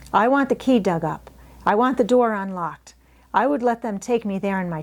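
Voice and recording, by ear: Natural-voiced reading aloud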